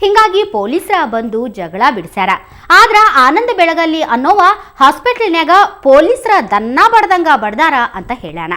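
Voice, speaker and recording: Raised and projected, a woman's high-pitched voice with a bright, sharp tone and a North Karnataka accent rises and falls in very wide pitch swings. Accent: North Karnataka Kannada dialect. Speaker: news anchor. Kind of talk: news narration in regional dialect.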